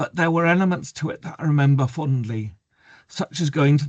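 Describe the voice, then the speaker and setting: Over a quiet background, a somewhat breathy man with an English accent talks fairly quickly with ordinary pitch variation. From England. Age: 60s. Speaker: mental health activist and memoir author. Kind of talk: reading a prepared talk. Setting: video call webinar.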